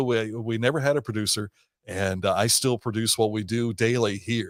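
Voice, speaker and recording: At a moderate pace, a man talks in an American accent with medium pitch. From southern Ohio. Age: 60s. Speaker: radio host. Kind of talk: casual interview chat.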